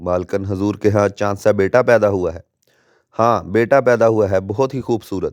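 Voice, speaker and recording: A man with a fairly low pitch and ordinary pitch variation is heard in a very clean recording with a silent background and a dry, close sound free of echo. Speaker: Islamic preacher. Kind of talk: religious sermon, Islamic storytelling. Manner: dramatic, emotional narration.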